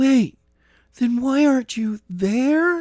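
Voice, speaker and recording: In a put-on character voice with extremely high pitch, a man speaks with ordinary pitch variation, the sound dry and close with no echo. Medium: read story. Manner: firm, curt.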